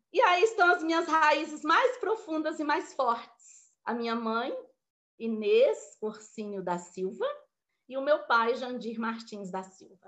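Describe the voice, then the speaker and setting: Speaking very slowly in a high pitch, a woman lets her voice take very wide pitch swings and big swings in loudness. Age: 60s. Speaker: motivational speaker. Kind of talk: motivational talk. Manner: informal, conversational.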